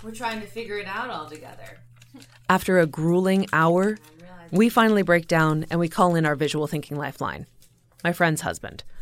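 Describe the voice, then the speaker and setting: Using an unremarkable speaking voice, a woman talks at a moderate pace with fairly low pitch, ordinary pitch variation and big swings in loudness. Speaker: podcast producer. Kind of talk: scripted narration.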